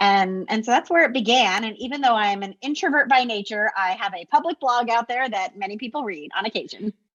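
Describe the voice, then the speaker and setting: Talking at a fairly quick clip with hardly any pauses, a woman uses lively intonation in a fairly high voice. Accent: American. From New Jersey. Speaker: school district administrator and coaching author. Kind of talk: interview conversation. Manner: fast.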